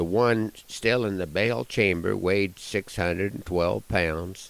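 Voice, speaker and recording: A man with an American accent, very slow in pace, with ordinary pitch variation. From Nebraska. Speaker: cowboy poet and rancher. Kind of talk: humorous ranch storytelling. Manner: folksy, down to earth.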